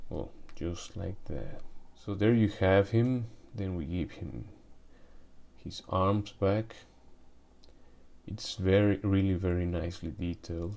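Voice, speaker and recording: Very slowly and with long, frequent pauses, a man speaks in a very deep, low pitch and a dark, mellow tone, with ordinary pitch variation. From Mexico. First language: Spanish. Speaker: toy collector YouTuber. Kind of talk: product review unboxing. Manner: hesitant, many fillers and restarts.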